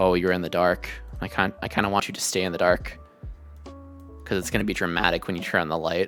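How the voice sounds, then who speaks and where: Over music in the background, a man with a very deep, low pitch talks at a very fast pace with fairly even intonation. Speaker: streamer. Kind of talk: casual talk.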